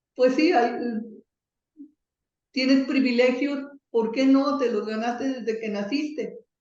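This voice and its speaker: A woman speaks at a fairly slow pace and high pitch, with fairly even intonation and long, frequent pauses. Audible room echo surrounds her voice. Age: 60s. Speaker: software distributor, computing pioneer. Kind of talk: interview.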